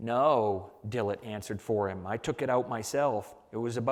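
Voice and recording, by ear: With fairly even intonation, a natural voice reads aloud.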